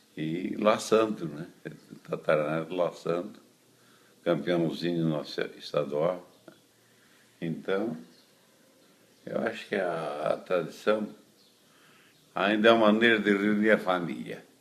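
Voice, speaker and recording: A man speaks in a very deep, low voice with ordinary pitch variation. His pace is very slow, broken by long, frequent pauses. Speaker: traditionalist rodeo lasso veteran. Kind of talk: interview.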